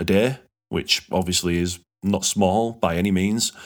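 Fairly low male voice at a moderate pace on a very clean recording with a silent background. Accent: Yorkshire. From Yorkshire, England. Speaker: podcast host. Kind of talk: casual podcast chat.

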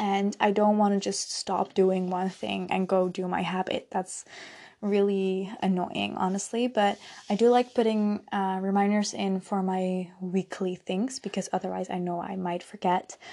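Soft-spoken and with a Dutch accent, a woman talks at a fairly slow pace and medium pitch in a dark, mellow tone with flat, monotone intonation, on a very clean recording with a silent background. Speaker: mental health podcaster. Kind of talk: solo podcast monologue. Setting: at home late at night. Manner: relaxed.

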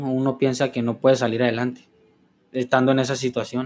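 Speaking at a fairly quick pace, a man at medium pitch has an unremarkable speaking voice. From Los Mochis, Sinaloa, Mexico. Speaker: clinic administrative assistant, recovering addict. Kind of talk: testimony. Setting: studio.

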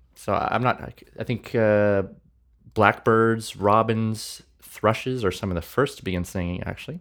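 Delivered at a moderate pace with fairly even intonation, this is a plain, everyday voice with a Canadian accent. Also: man, fairly low pitch for a man. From Manitoba, Canada. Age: 20s. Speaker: worship leader and podcast co-host. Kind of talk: casual chat.

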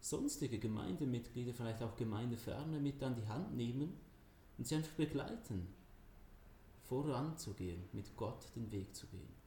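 Audible room echo surrounds a man's voice of medium pitch. He speaks at a fairly slow pace with ordinary pitch variation. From Switzerland, Zurich area. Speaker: church youth ministry worker. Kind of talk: interview. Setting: standing together in person.

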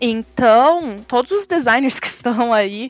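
Dry and close with no echo, a woman's high voice carries lively intonation. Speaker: designer in esports. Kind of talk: casual chat.

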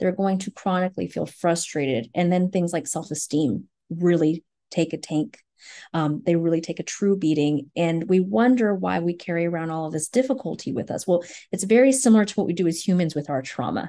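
Against a quiet background, a woman speaks fairly quickly in a fairly low, dark, mellow voice with lively intonation. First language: not English. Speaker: reading tutor and business owner. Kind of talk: casual interview chat.

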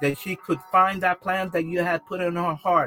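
A man with a high pitch speaks at a moderate pace. The sound is dry and close with no echo, and there is music in the background. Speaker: bishop leading prayer. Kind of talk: fervent prayer and prophetic declaration. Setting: live online prayer session. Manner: impassioned, repetitive, urgent exhortation; halting, with fillers and Spanish interjections.

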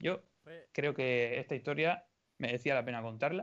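Against a quiet background, a man talks at a fairly quick pace in a plain, everyday voice with ordinary pitch variation. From Spain, Orihuela (Alicante). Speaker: podcast co-host. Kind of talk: casual chat.

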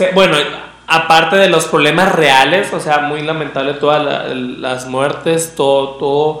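A man speaks with fairly even intonation. Room echo is audible, along with noticeable background noise. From Venezuela, Maracaibo. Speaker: podcast host. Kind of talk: casual chat.

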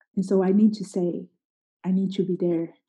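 A woman speaks in a Portuguese accent at medium pitch. Her tone is dark and mellow, and somewhat breathy. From Brazil, Sao Paulo. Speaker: missionary. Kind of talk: casual interview.

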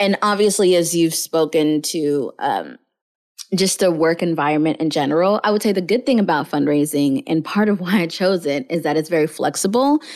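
A woman speaks in an ordinary speaking voice, fairly low in pitch, with lively intonation at a moderate pace. Her loudness stays very even, and the recording is very clean with a silent background. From US South (Houston, Kenyan immigrant family). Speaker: nonprofit fundraiser. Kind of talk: interview.

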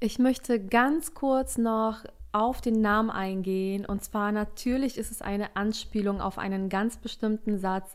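Speaking fairly slowly, a woman uses a fairly high pitch and ordinary pitch variation. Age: 20s. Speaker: life coach. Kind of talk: solo podcast monologue.

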